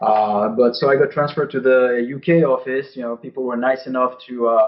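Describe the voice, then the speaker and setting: Medium-pitched male speech in a French accent, fairly quick, with fairly even intonation. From France. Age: 40s. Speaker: game designer. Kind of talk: interview. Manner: halting, many fillers.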